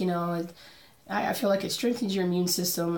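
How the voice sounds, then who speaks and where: Background noise is noticeable here. Through it, a woman talks at a medium pitch. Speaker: cross-stitch vlogger. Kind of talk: casual talk to camera. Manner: chatty, rambling.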